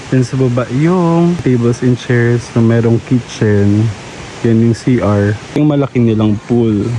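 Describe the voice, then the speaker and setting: Soft-spoken and at a very slow pace, a man talks in a medium pitch with very even loudness and ordinary pitch variation, over noticeable background noise. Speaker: travel vlogger. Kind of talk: casual vlog narration.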